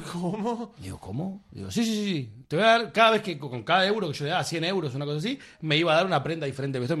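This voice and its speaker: Very fast and with very wide pitch swings, a man talks in a Rioplatense accent at a high pitch for a man. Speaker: film director. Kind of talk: casual chat.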